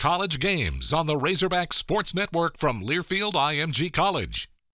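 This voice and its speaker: Man with a bright, sharp tone and vocal fry, on a very clean recording with a silent background. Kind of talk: radio broadcast announcer intro and bumper. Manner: polished, crisp, formal announcer delivery.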